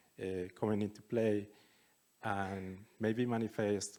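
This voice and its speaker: With monotone, flat intonation, a man speaks in a fairly low pitch with a dark, mellow tone. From Colombia, Bogotá. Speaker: festival curator. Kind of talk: event introduction and panel facilitation.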